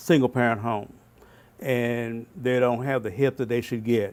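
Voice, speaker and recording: This man speaks with a Southern US accent. His pace is moderate. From Arkansas, Fort Smith. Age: 70s. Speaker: pastor and community mentor. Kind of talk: interview.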